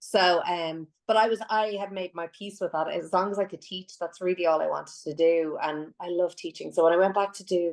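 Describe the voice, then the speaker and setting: A woman speaks with an Irish accent. Her pitch is medium and her pace moderate. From Ireland. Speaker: singer and voice teacher. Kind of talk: podcast interview.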